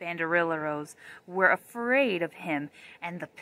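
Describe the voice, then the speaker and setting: A woman with a bright, sharp tone and a fairly low pitch speaks fairly slowly with ordinary pitch variation, in a dry sound with no echo. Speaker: reader of a children's story. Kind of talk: storybook read-aloud. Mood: gentle, calm storytelling. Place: forest. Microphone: phone near.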